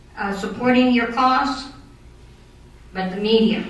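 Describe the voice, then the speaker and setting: A woman with a fairly high pitch speaks at a fairly slow pace with ordinary pitch variation. Noticeable background noise and audible room echo are present. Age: 60s. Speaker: citizen speaking at city council meeting. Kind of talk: public comment at council meeting. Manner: halting, with repetitions.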